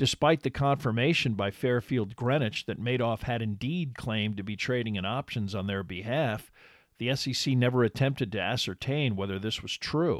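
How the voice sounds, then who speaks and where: An unremarkable speaking voice moves at a moderate pace with ordinary pitch variation, dry and close with no echo on a very clean recording with a silent background. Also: man, medium pitch for a man. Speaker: podcast host and narrator. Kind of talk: true-crime narration, scripted and read steadily in a documentary style. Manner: measured, even-paced and formal, serious tone; clear and authoritative, like a lecture.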